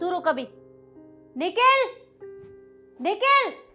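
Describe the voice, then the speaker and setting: Shouting in a put-on character voice with very wide pitch swings, over faint music in the background. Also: woman, extremely high pitch for a woman. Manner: shouting angrily.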